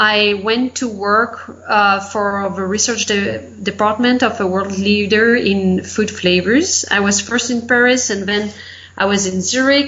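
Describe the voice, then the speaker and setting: A French accent, fairly even intonation and a fairly slow pace. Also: woman. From France. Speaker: life and business coach. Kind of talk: interview.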